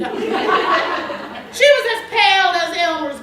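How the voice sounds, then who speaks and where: Over noticeable background noise, a woman uses a raised, projected voice at an extremely high pitch. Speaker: poet. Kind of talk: slam poetry performance.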